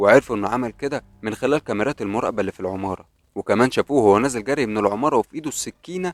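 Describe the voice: Lively intonation shapes the plain reading aloud.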